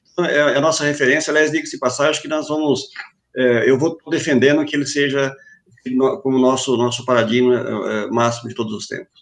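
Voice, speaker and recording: Intonation holds fairly even. Delivery moves at a fairly quick pace. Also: man, fairly high pitch for a man. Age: 40s. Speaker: safety association president. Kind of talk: online panel discussion. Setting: video call live stream. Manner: halting, repeating words.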